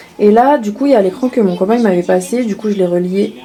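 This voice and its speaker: With noticeable background noise around her, a woman speaks at medium pitch with ordinary pitch variation. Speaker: beauty vlogger. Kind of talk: casual vlog. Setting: hotel room. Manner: soft-spoken; casual, filler-heavy.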